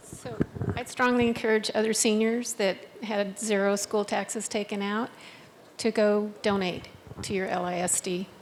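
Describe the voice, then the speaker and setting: With monotone, flat intonation, a woman talks at a medium pitch and a moderate pace against noticeable background noise. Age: 70s. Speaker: audience member. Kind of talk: audience question. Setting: senior center forum with audience.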